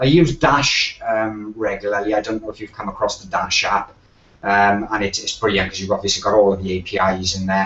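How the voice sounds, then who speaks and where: A man with a South Wales accent speaks at a fairly quick pace. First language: Welsh. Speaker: web designer, agency owner. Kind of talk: podcast interview. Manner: halting, many fillers.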